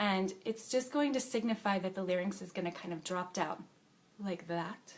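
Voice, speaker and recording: A woman at a medium pitch and moderate pace, with ordinary pitch variation. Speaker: voice teacher. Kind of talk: tutorial. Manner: soft-spoken.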